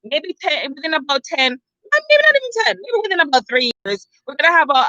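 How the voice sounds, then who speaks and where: A raised, projected voice with an animated, bright, sharp tone comes through with a dry, close sound and no echo. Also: woman. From Jamaica. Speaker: vlogger. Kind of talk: opinion rant vlog. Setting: outdoors.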